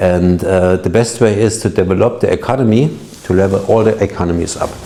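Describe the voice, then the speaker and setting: A man with a German accent speaks at a fairly quick pace in a fairly low pitch, his loudness very even and his pitch variation ordinary, over noticeable background noise. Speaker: engineer, discussion panelist. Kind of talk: panel discussion. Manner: halting, many repetitions.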